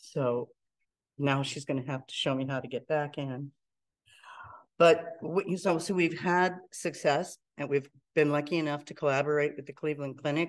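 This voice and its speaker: At a moderate pace with long, frequent pauses, a woman with an American accent speaks at a very deep, low pitch with fairly even intonation. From Pittsburgh, US. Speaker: entrepreneur; presenter. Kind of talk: lecture. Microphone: video call.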